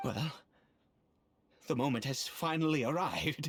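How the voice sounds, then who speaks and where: Someone puts on a character voice pitched low-to-middle. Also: moderate pace. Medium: video game. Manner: formal, measured.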